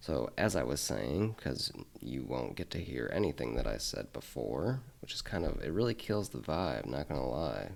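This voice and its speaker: A man mumbles in a very deep, low voice with vocal fry and very wide pitch swings. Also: moderate pace. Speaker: Linux tech YouTuber. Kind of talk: screen-recorded tutorial. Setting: home desk, late night. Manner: mumbling; casual. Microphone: quiet, mic not close to face.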